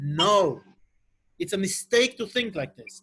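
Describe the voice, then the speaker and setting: The speaker talks at a fairly slow pace with an Israeli accent. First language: Hebrew. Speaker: Torah teacher. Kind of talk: online lecture. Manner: halting.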